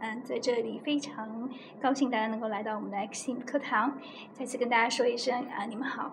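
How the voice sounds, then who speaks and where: A woman speaks very fast at a high pitch with monotone, flat intonation. Noticeable background noise and audible room echo fill the recording. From China. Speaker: English speaking teacher. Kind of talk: podcast interview. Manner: hesitant, many fillers.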